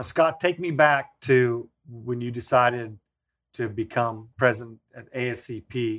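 Over a very clean recording with a silent background, a man talks at a very slow pace in a medium pitch, with ordinary pitch variation and big swings in loudness. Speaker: podcast co-host. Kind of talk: casual interview.

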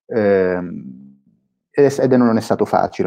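Fairly low-pitched man, dark and mellow in tone, at a moderate pace over a quiet background. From Sicily, Palermo. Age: 20s. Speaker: startup founder. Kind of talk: interview.

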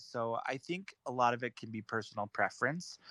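A man's bright, sharp voice of medium pitch, dry and close with no echo, over a quiet background. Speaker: podcast co-host and author. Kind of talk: casual chat.

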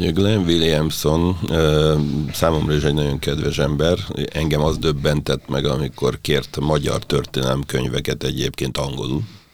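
A man talks at a moderate pace in a very deep, low pitch, with fairly even intonation and noticeable background noise around him. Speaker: podcast host. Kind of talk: interview. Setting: studio.

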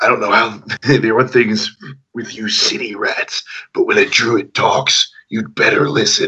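A man's raspy, put-on character voice at a medium pitch and moderate pace. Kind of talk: hard, tough talk. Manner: intimidating.

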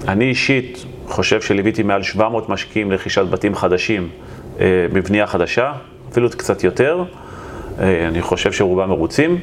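A man's fairly low voice with lively intonation, very even loudness, long and frequent pauses, and noticeable background noise. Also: moderate pace. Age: 40s. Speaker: real estate investor and developer. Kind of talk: interview.

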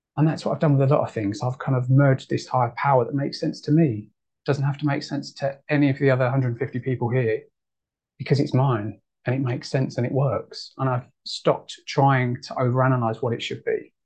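A somewhat breathy man at a fairly quick pace with fairly even intonation. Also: medium pitch for a man. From United Kingdom. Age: 30s. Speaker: twelve-step meeting speaker. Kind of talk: recovery share. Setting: video call.

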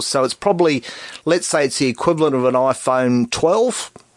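A man with an Australian accent, fairly high-pitched, at a moderate pace. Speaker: tech expert. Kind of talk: radio call-in chat. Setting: radio studio.

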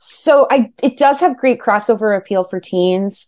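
A woman's medium-pitched voice with a New Jersey accent, lively intonation and a fairly slow pace over a quiet background. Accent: New Jersey American. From New Jersey, Monmouth County. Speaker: author. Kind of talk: interview.

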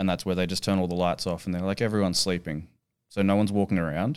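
A man with an Australian accent speaks at a very deep, low pitch in a monotone, flat intonation. The recording is very clean, with a silent background. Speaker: strongman athlete and coach. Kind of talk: casual chat. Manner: dry humour.

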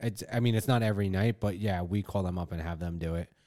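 On a very clean recording with a silent background, a voice with a dark, mellow tone and an American accent keeps fairly even intonation. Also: man. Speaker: podcast host. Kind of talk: casual chat. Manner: profane, jokey.

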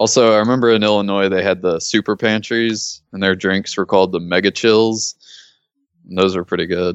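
A man speaks with a Southern US accent at a fairly low pitch. His intonation is monotone and flat, and his pace is moderate. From Mississippi, US South. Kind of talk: casual comedic chat.

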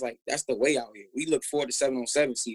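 At a fairly quick pace, a man talks in a dry, close sound with no echo. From Tampa, Florida. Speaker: football trainer and former NFL player. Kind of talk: casual interview chat. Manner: animated.

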